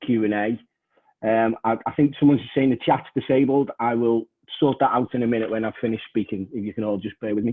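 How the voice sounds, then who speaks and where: With a Liverpool accent, a man talks at a very fast pace and a medium pitch, keeping his intonation fairly even. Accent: Scouse. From northern England, Liverpool. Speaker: trade union education manager, session chair. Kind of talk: online panel moderation; presentation. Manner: hesitant, many fillers.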